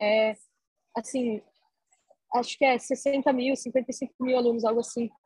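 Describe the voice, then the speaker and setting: In a dry, close recording with no echo, a woman speaks high-pitched and flat, in a monotone at a very slow pace with long, frequent pauses. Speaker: university student. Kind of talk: interview. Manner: halting, many fillers.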